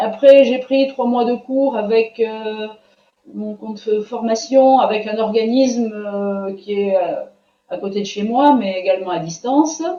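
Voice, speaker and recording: Her fairly high-pitched voice moves at a fairly slow pace with ordinary pitch variation, as the woman's loudness swings widely. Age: 60s. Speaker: student giving a testimonial. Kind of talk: interview testimony. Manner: hesitant, many fillers.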